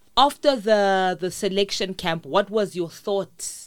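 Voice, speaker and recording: In a very clean recording with a silent background, a woman speaks with a South African accent. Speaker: podcast host. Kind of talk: interview. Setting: studio.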